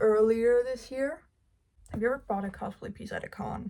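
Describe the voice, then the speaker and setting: A woman speaks in a Danish accent. Her voice is somewhat breathy, with fairly even intonation. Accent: Danish accent, non-native English. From Denmark. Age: 19. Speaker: cosplay YouTuber. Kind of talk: casual get-to-know-me vlog, Q&A.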